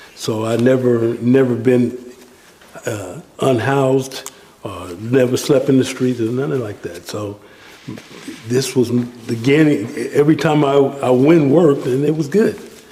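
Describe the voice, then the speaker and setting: Noticeable background noise sits behind a man speaking at a fairly slow pace. His pitch is medium, with ordinary variation. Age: 60s. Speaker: handyman, formerly homeless senior. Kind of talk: interview testimony. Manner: halting, many fillers.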